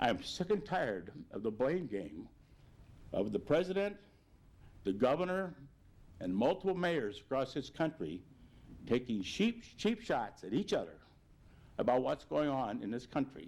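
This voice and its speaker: A man speaks at a moderate pace with vocal fry and very wide pitch swings. Long, frequent pauses break up his speech. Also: fairly high pitch for a man. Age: 70s. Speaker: mayor. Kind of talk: public address. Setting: video broadcast.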